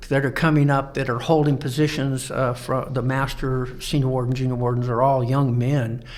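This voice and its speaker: A man with an American accent at medium pitch, in a monotone, flat intonation at a moderate pace with hardly any pauses, over noticeable background noise. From Colorado. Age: 70s. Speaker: Freemason lodge instructor. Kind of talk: podcast interview. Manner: halting, many fillers.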